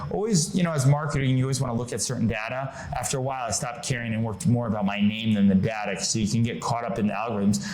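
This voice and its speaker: This man has an American accent and lively intonation at a medium pitch. Audible room echo and noticeable background noise surround his voice. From Connecticut, US. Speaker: marketing consultant. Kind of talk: podcast interview.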